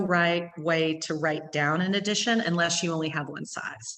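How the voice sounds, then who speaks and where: Amid audible room echo, a woman speaks with an East Texas accent at a fairly low pitch and ordinary pitch variation. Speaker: gallery owner. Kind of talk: gallery talk. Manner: fast.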